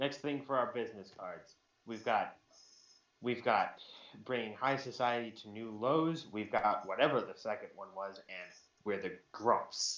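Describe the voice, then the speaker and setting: A man with an American accent talks at a fairly slow pace and medium pitch, with ordinary pitch variation, long, frequent pauses and big swings in loudness. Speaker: podcast co-host. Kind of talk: casual chat.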